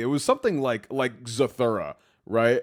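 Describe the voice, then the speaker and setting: On a very clean recording with a silent background, a man with a plain, everyday voice talks at a moderate pace and medium pitch, his intonation lively. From United States. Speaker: podcast co-host. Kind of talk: casual chat.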